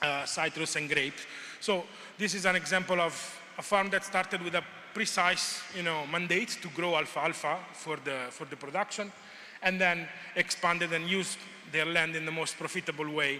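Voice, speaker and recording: Noticeable background noise sits behind a man whose high-pitched voice keeps a fairly even intonation. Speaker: conference presenter on agricultural research. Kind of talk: conference presentation. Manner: hesitant, many fillers; fast.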